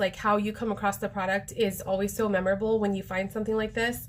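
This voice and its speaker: A woman talks very fast. Her pitch sits fairly high. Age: 40s. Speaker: direct sales consultant. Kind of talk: live product demo. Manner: casual, chatty with many fillers.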